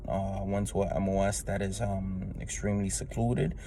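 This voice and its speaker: A man with a New York accent talks at a fairly quick pace, with audible room echo and noticeable background noise. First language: Spanish. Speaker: Marine Corps veteran. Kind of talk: testimony. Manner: halting, many fillers.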